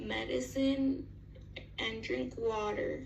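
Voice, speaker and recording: Through noticeable background noise and audible room echo, a woman speaks at a very slow pace. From Mexico. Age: 60s. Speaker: patient with communication difficulty. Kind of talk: scripted demonstration. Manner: halting, telegraphic.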